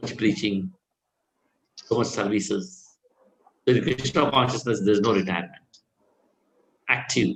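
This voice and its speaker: A man's fairly low, somewhat breathy voice at a moderate pace, with lively intonation, big swings in loudness and long, frequent pauses. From India, Karnataka. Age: 60s. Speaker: Hare Krishna preacher. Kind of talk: Q&A after a scripture class.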